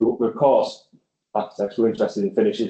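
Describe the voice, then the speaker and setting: A dark, mellow tone in a North East England accent at a very fast pace. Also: man. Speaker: architect. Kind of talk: conference presentation. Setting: conference venue with audience and online viewers.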